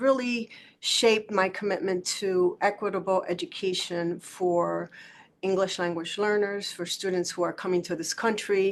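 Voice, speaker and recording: A woman with a Spanish accent talks at a fairly slow pace. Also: quiet background. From Puerto Rico and New York. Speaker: school district superintendent. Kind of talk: panel talk.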